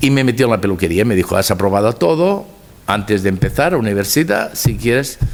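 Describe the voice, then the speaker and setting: Fairly low-pitched male voice against noticeable background noise. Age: 70s. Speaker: hairdresser. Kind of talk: lecture. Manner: halting.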